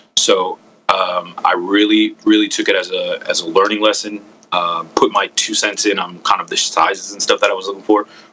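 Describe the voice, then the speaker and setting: Over background music, a man speaks at a moderate pace. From Puerto Rican heritage, US. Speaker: cigar company founder. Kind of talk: interview. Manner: hesitant, many fillers.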